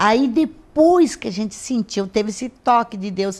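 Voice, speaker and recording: A normal speaking voice from a woman, fairly high in pitch with ordinary pitch variation, at a fairly slow pace. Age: 60s. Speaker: pastor. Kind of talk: interview.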